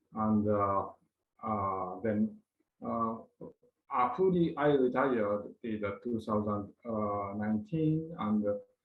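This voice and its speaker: With audible room echo, a man of fairly low pitch speaks at a very slow pace with ordinary pitch variation and long, frequent pauses. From Japan (Osaka). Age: 70s. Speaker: retired pharmaceutical executive. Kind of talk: conference presentation. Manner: halting, many filler sounds.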